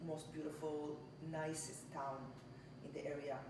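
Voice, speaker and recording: A woman's very deep, low voice amid audible room echo and noticeable background noise. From Israel. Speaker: home baker. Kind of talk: casual interview. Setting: home kitchen. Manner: halting.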